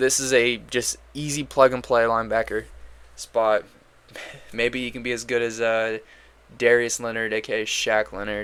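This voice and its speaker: A man's medium-pitched, monotone, flat delivery, broken by long, frequent pauses. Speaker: sports commentator, NFL draft analyst. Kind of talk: solo mock draft commentary. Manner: fast; casual, filler-heavy.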